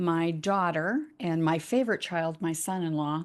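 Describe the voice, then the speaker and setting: A woman speaks very slowly against a quiet background. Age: 60s. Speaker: retired MS ambassador. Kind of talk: podcast interview. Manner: casual, hesitant with fillers.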